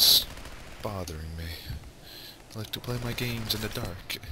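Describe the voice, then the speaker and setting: Noticeable background noise and audible room echo surround a man talking at a moderate pace with ordinary pitch variation. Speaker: gaming video creator. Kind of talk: let's play commentary. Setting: home recording in the dark. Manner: animated; louder than usual. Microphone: new mic setup, maybe less breathing.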